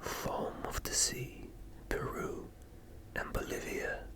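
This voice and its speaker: A man whispers very slowly while noticeable background noise carries on. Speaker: ASMR creator. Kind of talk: slow ASMR book reading. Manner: slow, soft-spoken, relaxing.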